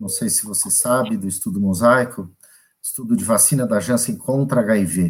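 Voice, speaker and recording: A man's medium-pitched voice at a moderate pace, with big swings in loudness. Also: lively intonation. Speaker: hospital director and infectious disease doctor. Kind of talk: live panel interview.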